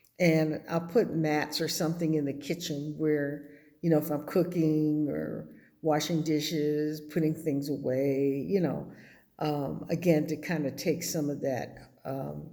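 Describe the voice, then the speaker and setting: Her voice dark and mellow with a very deep, low pitch, a woman speaks in a monotone, flat intonation at a fairly slow pace with audible room echo. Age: 70s. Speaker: vlogger building an off-grid house. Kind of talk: casual vlog update. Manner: hesitant, many fillers.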